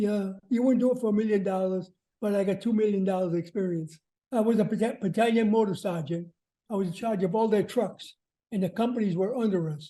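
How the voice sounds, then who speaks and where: His voice has a dark, mellow tone and a high pitch. The man speaks with an American accent and fairly even intonation. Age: 90s. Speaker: war veteran. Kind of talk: testimony. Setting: video call. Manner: halting.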